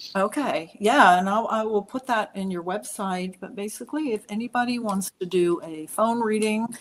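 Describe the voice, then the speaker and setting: A woman talks with a normal speaking voice at a fairly high pitch. Her pace is moderate, her pitch variation ordinary, and she hardly pauses at all. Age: 60s. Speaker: psychic and numerologist. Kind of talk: casual chat.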